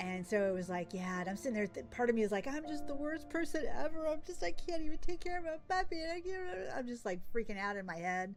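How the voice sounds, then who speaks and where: Over music in the background, an animated voice races at a very fast pace with hardly any pauses and very wide pitch swings. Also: woman, high pitch for a woman. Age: 60s. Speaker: gaming streamer. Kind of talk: casual chat.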